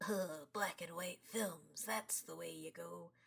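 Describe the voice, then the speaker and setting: Raspy, put-on character voice at a middle pitch and fairly slow pace. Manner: complaining, dismissive.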